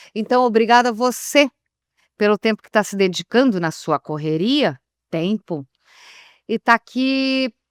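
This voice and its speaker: A woman with a fairly high voice speaks at a moderate pace with lively intonation and long, frequent pauses, the sound dry and close with no echo on a very clean recording over a silent background. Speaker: radio announcer. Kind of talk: interview answer.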